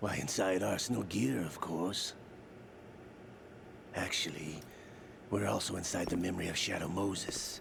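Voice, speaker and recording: A put-on character voice in a smug tone, at a moderate pace with long, frequent pauses, over clear background noise. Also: man, very deep, low pitch for a man. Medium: video game. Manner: smug, cryptic.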